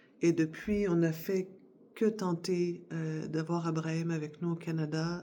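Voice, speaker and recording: At a very slow pace, a woman speaks in a fairly low pitch with a dark, mellow tone and a monotone, flat intonation. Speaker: vlogger. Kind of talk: casual chat. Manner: hesitant, many fillers.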